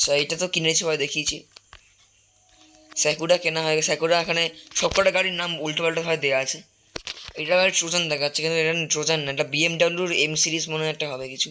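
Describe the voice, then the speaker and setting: Over noticeable background noise, a man talks with fairly high pitch and monotone, flat intonation. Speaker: gaming YouTuber. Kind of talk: gameplay commentary. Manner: halting.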